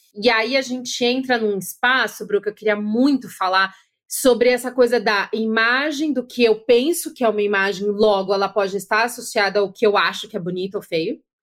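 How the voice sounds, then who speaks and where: With an unremarkable speaking voice at a fairly high pitch, a woman keeps a moderate pace with hardly any pauses and ordinary pitch variation. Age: 40s. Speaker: podcast host and content creator. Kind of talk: casual interview chat.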